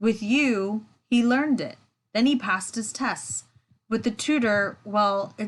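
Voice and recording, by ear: The background stays quiet. Pitch varies in an ordinary way as someone is reading aloud in a natural voice.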